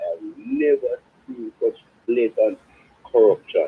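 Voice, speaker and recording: A man with a Jamaican accent and very wide pitch swings. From Jamaica, South Trelawney. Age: 70s. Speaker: caller. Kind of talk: phone-in call. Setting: phone call.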